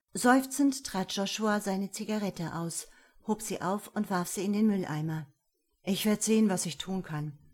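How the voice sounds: a natural reading voice with ordinary pitch variation over a quiet background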